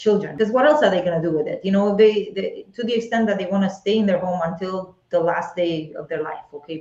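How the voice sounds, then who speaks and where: A woman with an Eastern European accent talks at a medium pitch with ordinary pitch variation. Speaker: real estate agent. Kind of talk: live webinar conversation.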